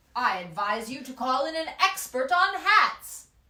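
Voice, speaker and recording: A woman's put-on character voice, high-pitched and raised, projected, with very wide pitch swings. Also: moderate pace. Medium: read story. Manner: precise, solemn.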